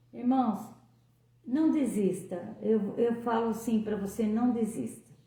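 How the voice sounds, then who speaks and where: A woman talks at a very slow pace, and audible room echo follows her words. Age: 60s. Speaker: lay preacher. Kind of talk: devotional talk.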